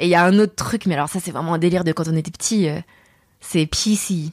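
A woman speaks at a moderate pace with ordinary pitch variation. The recording is very clean, with a silent background. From France, Saint-Germain-en-Laye (Paris area). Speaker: voice actor. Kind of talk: interview.

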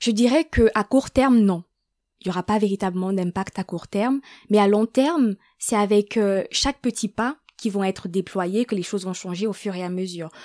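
Here is a woman with a plain, everyday voice, speaking at medium pitch and a moderate pace with ordinary pitch variation. The recording is very clean with a silent background, and the sound is dry and close with no echo. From Gabon. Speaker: student. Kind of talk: interview.

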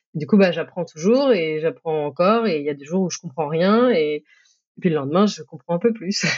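A woman talks at a moderate pace with hardly any pauses, her fairly low voice an unremarkable speaking voice. Her intonation is lively, with big swings in loudness. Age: 30s. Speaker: technical program manager. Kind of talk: interview.

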